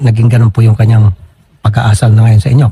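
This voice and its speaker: The man's voice is somewhat breathy, heard in a dry, close sound with no echo. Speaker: public service radio host handling complaints. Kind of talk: complaint-handling interview on air.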